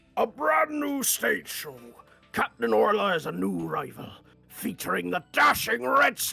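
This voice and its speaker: Over faint background music, a man in a put-on character voice speaks at a high pitch and a moderate pace. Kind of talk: theatrical.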